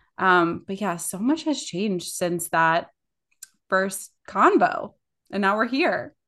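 A woman at medium pitch with lively intonation, a bright, sharp tone and a very slow pace, against a quiet background. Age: 30s. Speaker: podcast co-host, social media director. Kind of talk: casual chat. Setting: recording at home in bathroom.

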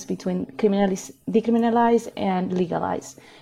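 A woman with a Spanish accent speaks at a medium pitch in a somewhat breathy, dark, mellow tone with fairly even intonation. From Chile. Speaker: healing circle facilitator and activist. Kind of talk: interview conversation.

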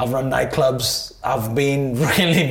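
A man talks at a moderate pace with medium pitch and fairly even intonation. Noticeable background noise can be heard. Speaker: entrepreneur and events producer. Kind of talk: interview. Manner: halting, many repetitions and fillers.

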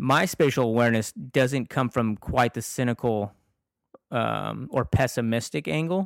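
With an unremarkable speaking voice, a man talks at a fairly slow pace, medium in pitch with lively intonation. The recording is very clean and silent, the sound dry and close with no echo. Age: 40s. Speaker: podcast co-host. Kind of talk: casual chat.

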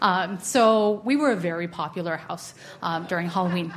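Her voice is an unremarkable speaking voice, and the woman speaks at a medium pitch and a moderate pace. Her pitch varies in an ordinary way. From San Francisco, California. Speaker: storyteller. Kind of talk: casual interview; storytelling performance.

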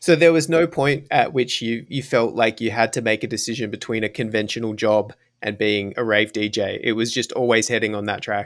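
This voice moves at a fairly quick pace with ordinary pitch variation in an Australian accent. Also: man, medium pitch for a man. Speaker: podcast host. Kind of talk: interview.

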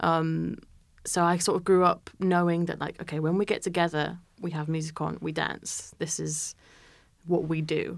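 A woman with a Yorkshire accent, fairly low in pitch, monotone and flat in intonation, on a very clean recording with a silent background. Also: moderate pace. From Yorkshire, northern England. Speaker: jazz musician and producer. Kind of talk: interview. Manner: hesitant, many fillers.

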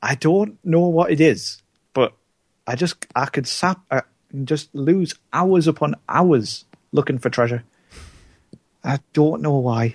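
Somewhat breathy speech comes at a very slow pace with ordinary pitch variation and long, frequent pauses, in a dry, close sound with no echo. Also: man, fairly high pitch for a man. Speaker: returning podcast co-host. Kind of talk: casual chat.

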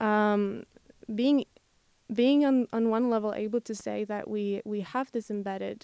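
A dark, mellow tone with a Slovak accent, fairly even intonation and moderate pace, dry and close with no echo. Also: woman. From Slovakia. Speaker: international student. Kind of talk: academic discussion. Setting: studio. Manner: halting.

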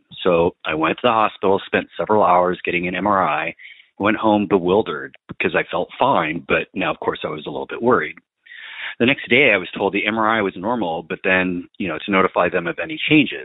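He has a normal speaking voice, pitched fairly low for a man. His pace is fairly quick, with ordinary pitch variation. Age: 40s. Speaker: voice message caller. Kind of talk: recorded voice message.

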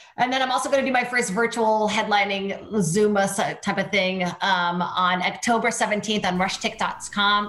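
A woman speaks at a moderate pace with hardly any pauses, at a medium pitch and very even loudness. Her intonation is fairly even, and there is noticeable background noise. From Brazil. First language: Portuguese. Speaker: comedian and TV host. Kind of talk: casual chat.

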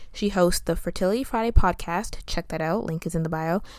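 Speaking at a very fast pace, a woman with a fairly low voice is heard on a very clean recording against a silent background. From Canada. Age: 20s. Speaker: podcast host. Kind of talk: casual chat.

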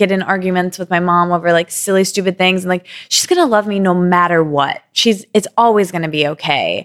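A woman with a plain, everyday voice and an American accent, at medium pitch and a moderate pace, with ordinary pitch variation on a very clean recording with a silent background. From Michigan, US. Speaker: podcast co-host. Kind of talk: casual chat.

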